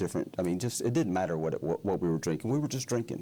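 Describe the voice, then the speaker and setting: A man with a Southern US accent has a dark, mellow tone on a very clean recording with a silent background. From Alabama. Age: 60s. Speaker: recovering alcoholic, retired pharmacist. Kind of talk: testimony interview. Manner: halting.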